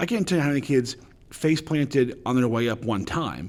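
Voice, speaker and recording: On a very clean recording with a silent background, a man speaks loudly. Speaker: high school teacher. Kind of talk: motivational talk. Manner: halting, many fillers.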